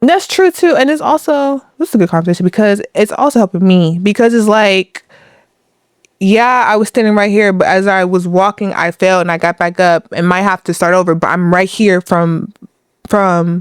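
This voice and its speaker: Recorded with a dry, close sound and no echo, a woman with an unremarkable speaking voice keeps a medium pitch, very even loudness and ordinary pitch variation. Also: moderate pace. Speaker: podcast guest. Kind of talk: casual chat.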